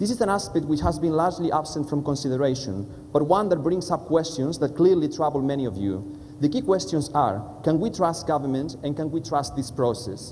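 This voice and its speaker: Speaking with a Spanish accent, a man talks at a fairly quick pace with lively intonation over light background noise. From Spanish-speaking country. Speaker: politics lecturer. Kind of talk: panel presentation. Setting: stage with audience. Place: hall.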